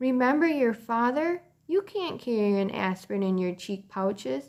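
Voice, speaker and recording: Using a put-on character voice, a woman speaks at a moderate pace in a fairly high, shaky pitch. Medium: read story.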